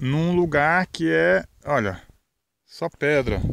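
A man's voice, dry and echo-free, over light background noise. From Brazil, Pernambuco sertão (Verdejante); Pernambuco, Brazil. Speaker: rural video blogger; rural vlogger. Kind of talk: casual outdoor vlog narration. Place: farm. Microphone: phone near.

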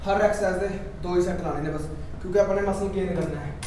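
A man's high-pitched, monotone, flat voice, with light background noise and audible room echo. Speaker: gym trainer. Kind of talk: workout tutorial. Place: gym. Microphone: camera far.

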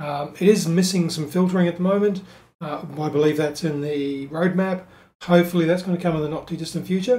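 At a fairly quick pace, a man talks with a high pitch and fairly even intonation. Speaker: web development tutor. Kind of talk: tutorial. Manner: hesitant, many fillers.

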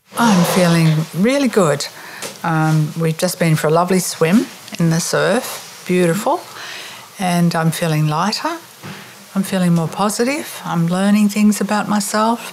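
At a fairly slow pace, a woman speaks in a fairly low pitch with ordinary pitch variation and long, frequent pauses. Noticeable background noise is present. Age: 70s. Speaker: retreat participant. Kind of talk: interview.

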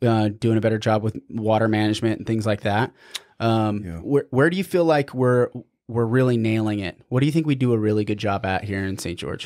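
In a quiet background, a man with an American accent and an ordinary speaking voice talks at a fairly quick pace and medium pitch, with ordinary pitch variation. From Utah. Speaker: podcast host. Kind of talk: interview; promo announcement. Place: studio. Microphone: studio mic.

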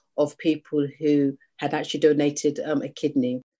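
A woman with a British accent has a very deep, low voice. Her tone is dark and mellow. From UK. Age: 40s. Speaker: charity founder, living kidney donor. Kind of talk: interview. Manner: halting.

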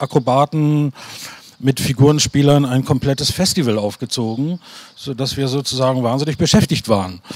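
In a dry sound with no echo, a man speaks in an ordinary speaking voice at a moderate pace, with a fairly high pitch and fairly even intonation. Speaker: actor and theatre director. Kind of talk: panel discussion. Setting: stage with audience. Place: stage.

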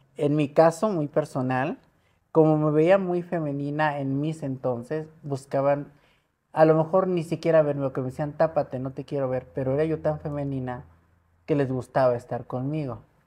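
A woman with a Mexico City accent speaks at a moderate pace in a very deep, low voice. Her tone is dark and mellow, and her intonation stays fairly even. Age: 60s. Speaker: model and media personality; interview guest. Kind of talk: interview. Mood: personal life story, earnest. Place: home room. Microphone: lapel.

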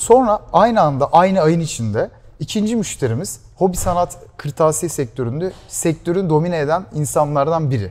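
A man's fairly high voice with very wide pitch swings. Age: 20s. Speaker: startup founder; guest. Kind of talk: interview. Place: studio. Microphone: lapel.

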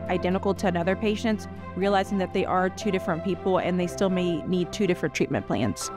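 A woman with a Southern US accent, a dry sound with no echo and clear music in the background. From Louisiana, US South. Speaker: nurse practitioner. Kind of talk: staff introduction talk to camera. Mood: warm, friendly. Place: office. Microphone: lapel.

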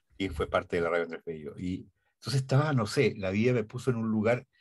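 A man talks at a fairly quick pace against a quiet background. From Chile. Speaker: radio and TV announcer. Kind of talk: interview answer. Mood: warm, nostalgic. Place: studio.

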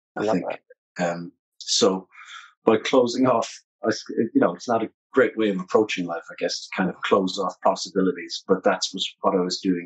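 A man speaks with an Irish accent against a quiet background. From Ireland. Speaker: musician and author; interview guest. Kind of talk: interview. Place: home room.

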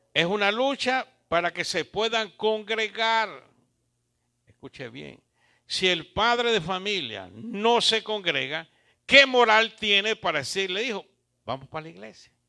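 A man projects a raised voice at a high pitch, bright and sharp in tone, with lively intonation and big swings in loudness. He speaks at a fairly slow pace against a quiet background. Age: 70s. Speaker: pastor. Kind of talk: sermon. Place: church. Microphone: handheld.

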